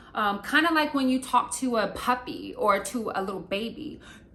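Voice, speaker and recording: A woman with an American accent speaks with lively intonation. Noticeable background noise runs under her voice. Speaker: beauty and lifestyle youtuber. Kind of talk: casual tutorial vlog. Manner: conversational, many fillers.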